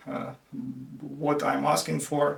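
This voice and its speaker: A man speaking at a fairly slow pace amid noticeable background noise. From Ukraine, Dnipro. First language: Russian and Ukrainian. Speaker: IT worker and language learner. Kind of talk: casual explainer video. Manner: halting, many fillers.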